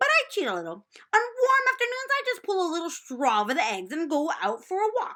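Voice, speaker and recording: A female-sounding put-on character voice, raised and projected, runs at an extremely high pitch and a fairly quick pace. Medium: read story. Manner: repeats words, chattering.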